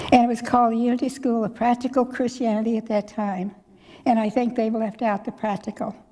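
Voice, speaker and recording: A woman speaks in a Midwestern American accent. Her intonation is monotone and flat. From US Midwest, Missouri. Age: 90s. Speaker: church elder speaker. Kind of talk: personal reminiscence talk. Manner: conversational, rambling with restarts.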